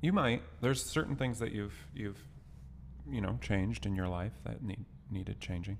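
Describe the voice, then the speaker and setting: This man has a fairly low pitch with vocal fry and very wide pitch swings. His pace is fairly quick. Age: 30s. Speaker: podcast co-host. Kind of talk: casual chat.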